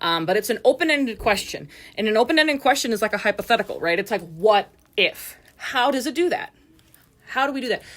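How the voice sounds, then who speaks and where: Her pitch fairly high and swinging very widely, a woman speaks at a very fast pace. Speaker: student teacher. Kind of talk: recorded class presentation. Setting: warm school classroom without AC. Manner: casual, filler-heavy.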